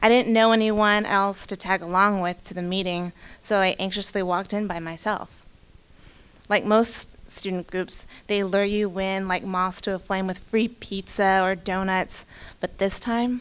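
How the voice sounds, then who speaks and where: Her intonation monotone and flat, a woman with a Pacific Northwest accent talks at a moderate pace and medium pitch. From Spokane, Eastern Washington. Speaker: county employee telling personal story. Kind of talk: personal storytelling read aloud.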